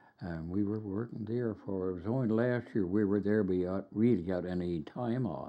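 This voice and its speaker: With a Newfoundland accent, a man of fairly low pitch talks at a moderate pace with ordinary pitch variation and hardly any pauses. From Burin Peninsula, Newfoundland. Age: 80s+. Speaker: retired teacher. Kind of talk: oral history interview answer.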